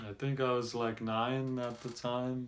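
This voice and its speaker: A man's medium-pitched voice at a very slow pace, with monotone, flat intonation. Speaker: self-help vlogger. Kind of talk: casual monologue. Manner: halting.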